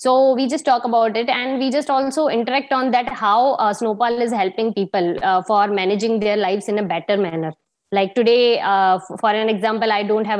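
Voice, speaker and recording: A woman speaks at a fairly high pitch. Her pace is fairly quick, with ordinary pitch variation. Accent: Indian. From India (Gujarat). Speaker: sales and marketing professional. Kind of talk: casual interview. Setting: video call.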